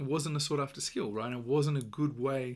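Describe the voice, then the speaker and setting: In a very clean recording with a silent background, a man with an Australian accent talks at a moderate pace with fairly even intonation. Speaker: podcast host. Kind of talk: solo podcast monologue. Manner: many fillers and repetitions.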